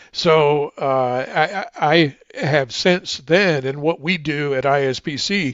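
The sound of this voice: The tone is fairly bright, with ordinary pitch variation. The pace is slow. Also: man, fairly high pitch for a man.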